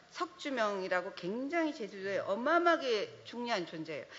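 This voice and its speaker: A woman's high voice with very wide pitch swings, at a fairly slow pace, over noticeable background noise. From Jeju Island, South Korea. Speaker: trail organization director, panelist. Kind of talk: panel discussion.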